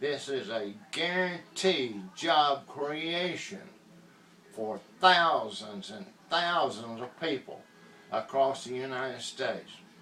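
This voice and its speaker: A man with an American accent speaks at a fairly high pitch and a very slow pace. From US South, Georgia. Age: 70s. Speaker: inventor promoting a product. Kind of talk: political appeal and sales pitch. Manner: impassioned.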